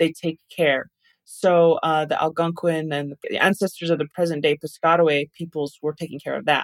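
Using an ordinary speaking voice, a woman with an American accent talks at a moderate pace and fairly low pitch, the sound dry and close with no echo. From Taos, New Mexico, US Southwest. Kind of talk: interview conversation.

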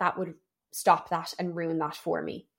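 A woman with a Dublin accent, flat monotone delivery, very clean recording against a silent background. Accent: Irish (Dublin). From Ireland, Dublin. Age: 20s. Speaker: personal trainer and gym owner. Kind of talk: solo personal storytelling podcast. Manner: chatty, talkative.

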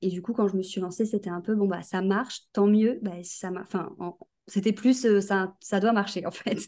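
A woman speaks at a fairly slow pace with medium pitch and fairly even intonation, in a dark, mellow tone. The background is quiet. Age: 20s. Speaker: graphic designer. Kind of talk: casual chat.

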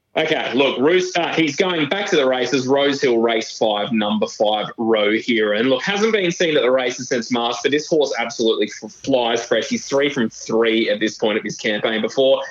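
Over noticeable background noise, a man with an Australian accent talks at a moderate pace with hardly any pauses and lively intonation. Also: medium pitch for a man. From New South Wales, Australia. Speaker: horse racing tipster. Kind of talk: casual chat.

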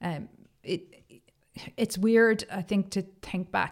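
Speaking in a Cork accent, a woman uses a medium pitch and a fairly slow pace. Her intonation is monotone and flat, in a very clean recording with a silent background. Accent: Cork Irish. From Ireland, Cork. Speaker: tech company executive. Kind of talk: interview.

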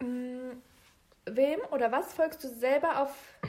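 A woman's voice with a high pitch for a woman. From Germany, Bielefeld. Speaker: podcast co-host. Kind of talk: casual chat.

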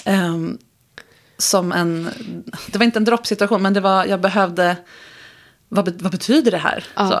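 The woman speaks at a moderate pace. She leaves long, frequent pauses. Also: medium pitch for a woman. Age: 40s. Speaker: sex coach. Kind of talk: casual chat. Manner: animated.

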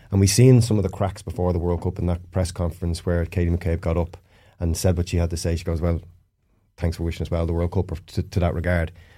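In a very clean recording with a silent background, a man with an Irish accent speaks at a very fast pace. His very deep, low voice is somewhat breathy, with a dark, mellow tone and monotone, flat intonation. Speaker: former footballer. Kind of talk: casual chat. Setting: studio.

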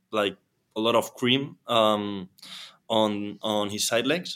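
Here a man speaks at a medium pitch with a non-native accent. The recording is very clean, with a silent background. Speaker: actor and entrepreneur. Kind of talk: interview. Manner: halting, many fillers and repetitions.

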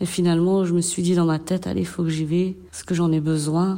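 Dark, mellow tone, flat monotone intonation, moderate pace. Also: woman. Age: 40s. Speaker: garden and vegetable-processing worker in job reintegration. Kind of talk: testimony. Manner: hesitant.

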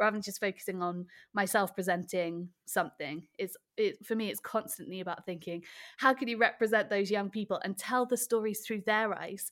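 A woman talks fairly quickly at a medium pitch. The recording is very clean, with a silent background. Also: ordinary pitch variation. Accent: Welsh. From rural Wales. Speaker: children's TV presenter and theatre director. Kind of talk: casual interview. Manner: animated.

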